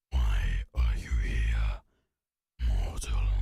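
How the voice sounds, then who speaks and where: A man's booming, put-on character voice with a very deep, low pitch. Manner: menacing.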